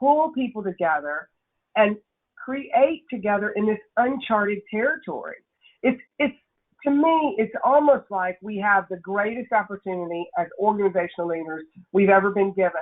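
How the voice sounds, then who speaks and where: With a Nashville accent, a woman of medium pitch speaks at a moderate pace. Her pitch swings very widely. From Tennessee, Nashville. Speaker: workshop speaker, leadership consultant. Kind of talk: webinar presentation. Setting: webinar.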